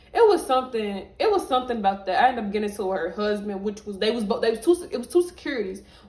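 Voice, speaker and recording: Her pitch fairly high and swinging very widely, a woman races along at a very fast pace with hardly any pauses while noticeable background noise plays behind her. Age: 20s. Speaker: vlogger. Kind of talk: storytime monologue.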